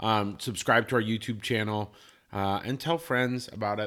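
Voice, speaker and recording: A man at a moderate pace uses a plain, everyday voice, fairly low in pitch and showing ordinary pitch variation. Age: 30s. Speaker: podcast co-host. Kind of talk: casual chat. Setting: home studio.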